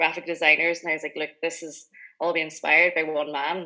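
A woman with a very deep, low pitch and a bright, sharp tone talks very fast with monotone, flat intonation. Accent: Donegal. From Inishowen, County Donegal, Ireland. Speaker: drinks company founder. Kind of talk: radio interview. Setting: video call. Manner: casual, with many likes and ums.

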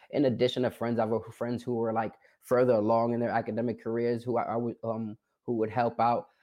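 A man with a New York accent talks at a fairly quick pace in a monotone, flat intonation. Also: medium pitch for a man. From New York, South Bronx. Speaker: formerly incarcerated college graduate, documentary subject. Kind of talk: interview. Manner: hesitant, many filler words.

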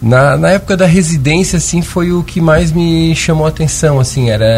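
Music plays in the background. A man talks at a fairly quick pace with lively intonation. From Lauro Müller, Santa Catarina, southern Brazil. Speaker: surgeon and endoscopist. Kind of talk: radio interview. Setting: radio studio.

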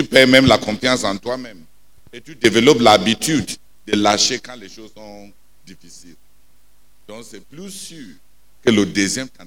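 On a very clean recording with a silent background, a man of medium pitch speaks at a moderate pace with an animated tone and ordinary pitch variation. His loudness swings widely, and his pauses are long and frequent. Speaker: preacher. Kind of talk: sermon. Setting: prayer night, church. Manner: animated, emphatic, preaching with repetition and call-and-response.

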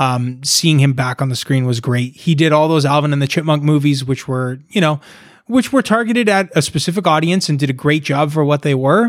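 Speaking at a fairly quick pace, a man with an unremarkable speaking voice has a fairly high pitch and ordinary pitch variation. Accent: Canadian. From Canada, Toronto area. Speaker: musician. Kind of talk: casual chat.

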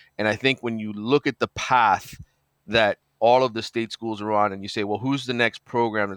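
A man with an ordinary speaking voice at medium pitch talks at a moderate pace against a quiet background, with a dry, close sound with no echo. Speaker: sports reporter. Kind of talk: casual interview chat. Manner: relaxed, conversational.

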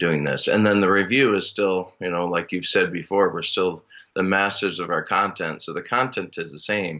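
A man with a very deep, low pitch and an Upper Midwest accent, fairly even intonation, and a moderate pace. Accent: Upper Midwest American. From Minnesota. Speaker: elementary school teacher. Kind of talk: casual chat.

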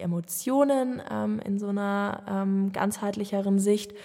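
At a fairly slow pace, a woman speaks with a dark, mellow tone at a medium pitch. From Germany, Munich (Bavaria). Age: 20s. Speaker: podcast host. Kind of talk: solo monologue, casual personal talk. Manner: hesitant, many filler sounds.

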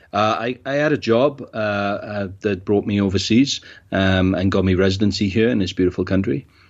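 This man speaks with a South Wales accent at a moderate pace. His pitch is fairly low, with ordinary variation. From Wales, Cardiff. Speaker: event organizer. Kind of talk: casual interview.

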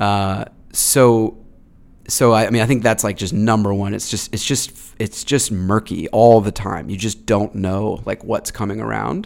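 In a very clean recording against a silent background, a man with an American accent speaks at a moderate pace with fairly even intonation. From Massachusetts, US. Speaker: tech entrepreneur, company CEO. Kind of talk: interview. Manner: halting, many fillers and restarts.

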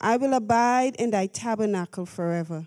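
A dark, mellow tone at a fairly slow pace with ordinary pitch variation, on a very clean recording with a silent background. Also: woman. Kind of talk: fervent prayer with scripture reading. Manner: passionate, intense.

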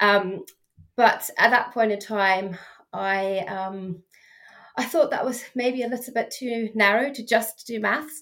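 A woman's fairly bright, medium-pitched voice at a slow pace. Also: fairly even intonation.

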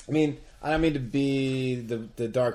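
A man's somewhat breathy voice sits at a medium pitch. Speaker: podcast host. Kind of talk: casual chat.

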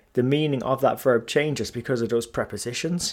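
A speaker in an Irish accent comes through on a very clean recording with a silent background. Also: man. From Ireland. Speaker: finance podcast host. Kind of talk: solo podcast monologue. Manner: casual with frequent filler words.

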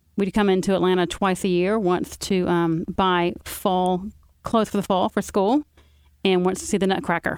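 A woman with a Southern US accent speaks at a moderate pace and medium pitch, her loudness very even and her intonation fairly even, on a very clean recording with a silent background. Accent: Southern US (Georgia). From Carrollton, Georgia. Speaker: author. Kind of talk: casual political chat.

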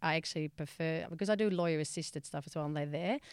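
Ordinary pitch variation in a very clean recording with a silent background. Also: woman. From Netherlands. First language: Dutch. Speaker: mediator and conflict resolution trainer. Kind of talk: podcast interview. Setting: studio.

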